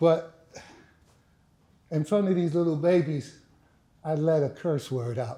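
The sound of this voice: A man's fairly high voice, dark and mellow in tone, with ordinary pitch variation and a slow pace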